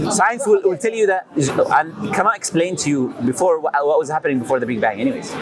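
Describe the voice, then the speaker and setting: A man with a non-native accent, high-pitched and fairly quick, his pitch swinging very widely, over noticeable background noise. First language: not English. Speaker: street preacher. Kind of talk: street debate.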